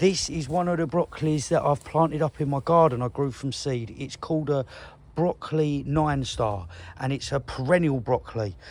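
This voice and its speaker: A man with an English accent speaks in a fairly high pitch, his voice somewhat breathy. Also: ordinary pitch variation, moderate pace. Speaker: allotment gardener vlogger. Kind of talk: casual video walkthrough. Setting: outdoors. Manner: animated.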